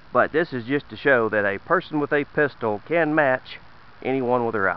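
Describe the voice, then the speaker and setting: A man talks with a Southern US accent. His pitch variation is ordinary. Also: medium pitch for a man, moderate pace. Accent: noticeable Southern US. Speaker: shooting video maker. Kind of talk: casual demonstration.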